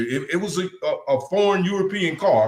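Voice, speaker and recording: This man's voice sits high in pitch. He sounds animated, with lively intonation. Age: 60s. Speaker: talk show co-host. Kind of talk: casual live-stream discussion.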